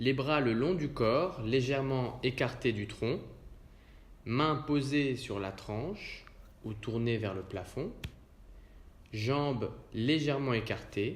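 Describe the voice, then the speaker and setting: A man's calm, soothing, somewhat breathy voice at a medium pitch with ordinary pitch variation, very slow pace and long, frequent pauses. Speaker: yoga nidra guide. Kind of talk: guided relaxation / yoga nidra session. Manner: calm, slow, soothing.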